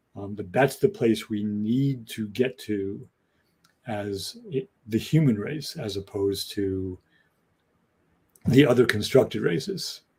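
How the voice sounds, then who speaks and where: At a very slow pace, a man with a medium pitch, ordinary pitch variation and a somewhat breathy sound speaks with long, frequent pauses and big swings in loudness. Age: 60s. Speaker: podcast co-host. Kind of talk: casual discussion. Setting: podcast.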